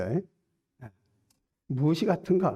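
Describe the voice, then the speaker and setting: Lively intonation runs through a dark, mellow tone that unfolds at a fairly slow pace. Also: man. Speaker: preacher. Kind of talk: sermon.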